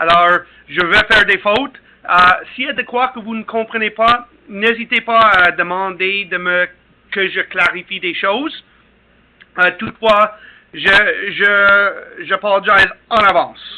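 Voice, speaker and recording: Very slowly, with long, frequent pauses, a man talks at a high pitch and with fairly even intonation. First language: English (speaking French). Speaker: company representative. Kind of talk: webinar presentation. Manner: halting.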